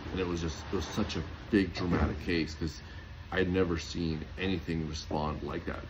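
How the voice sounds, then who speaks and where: A man talks with a very deep, low pitch and a somewhat breathy quality. The room gives off an audible echo. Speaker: homeopath and natural health product maker. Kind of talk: casual talk to camera. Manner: fast; animated.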